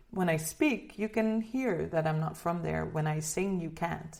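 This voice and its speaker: A woman with a slight Dutch accent and a fairly low pitch. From Netherlands. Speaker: singer. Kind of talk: interview. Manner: halting, many repeated words.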